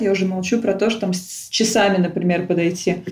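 Against noticeable background noise, a woman at medium pitch speaks at a fairly quick pace with fairly even intonation. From Russia, Tula. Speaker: emigrant guest. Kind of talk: casual interview.

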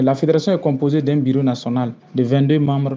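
A man at medium pitch and moderate pace. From Burkina Faso. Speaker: activist. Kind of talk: interview. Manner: animated.

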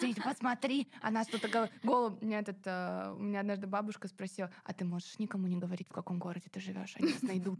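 Speaking very fast with hardly any pauses, a woman uses a somewhat breathy, medium-pitched voice with ordinary pitch variation. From Kaliningrad, Russia. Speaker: podcast host. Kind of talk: interview.

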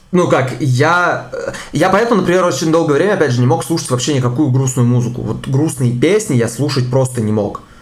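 Through noticeable background noise, a man speaks at a fairly quick pace with a fairly high pitch and ordinary pitch variation. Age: 20s. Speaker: cybersecurity specialist and podcast co-host. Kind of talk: casual chat.

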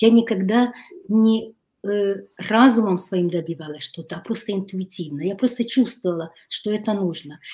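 A somewhat breathy woman's voice, dark and mellow in tone, at a medium pitch with ordinary pitch variation and a moderate pace. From Ukraine, Kyiv; lives in Hungary. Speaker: writer and life coach. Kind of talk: interview. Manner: halting.

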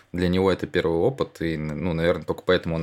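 This man's voice is very deep and low in pitch. He keeps his intonation fairly even. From Russia, St Petersburg. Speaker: football journalist. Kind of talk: casual chat.

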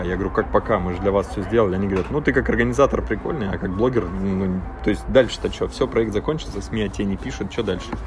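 Over noticeable background noise, a man talks at a very fast pace. His fairly low voice has lively intonation. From Russian Far East, Magadan region. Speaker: traveler and expedition leader. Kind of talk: interview. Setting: remote call.

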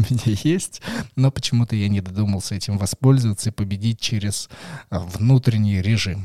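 Animated man at a medium pitch, ordinary pitch variation, moderate pace, dry, close sound with no echo. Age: 20s. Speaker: board game podcast host. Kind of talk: casual chat.

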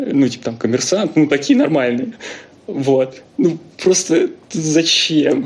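Over noticeable background noise, a man talks very slowly with long, frequent pauses. His pitch is fairly high and his intonation lively. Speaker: scientist. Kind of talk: casual chat.

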